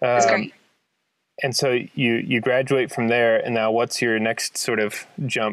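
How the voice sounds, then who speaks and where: A man's unremarkable speaking voice at medium pitch, with fairly even intonation, a fairly slow pace and very even loudness. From Kansas. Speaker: podcast host. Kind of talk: casual interview conversation.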